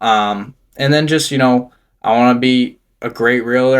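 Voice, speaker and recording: On a very clean recording with a silent background, a man talks at a medium pitch in a plain, everyday voice. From Massachusetts, Gardner (central/western Mass). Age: 20s. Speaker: real estate agent. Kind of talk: casual podcast interview.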